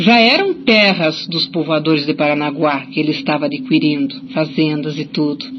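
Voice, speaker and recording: Against noticeable background noise, a woman speaks in a very deep, low pitch with very wide pitch swings. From Curitiba, Brazil. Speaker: writer and folklorist. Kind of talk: radio interview answer.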